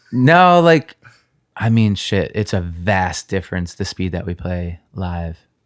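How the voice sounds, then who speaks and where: A man with an American accent speaks at a fairly slow pace. His very deep, low voice shows ordinary pitch variation on a very clean recording with a silent background. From New York. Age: 30s. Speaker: punk singer. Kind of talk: casual chat. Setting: host's apartment.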